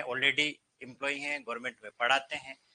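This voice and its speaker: A man's bright, sharp tone. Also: dry, close sound with no echo. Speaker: Hindi teacher at coaching class. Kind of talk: classroom lecture. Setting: classroom with students. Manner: loud. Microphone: no microphone, some students may hear poorly.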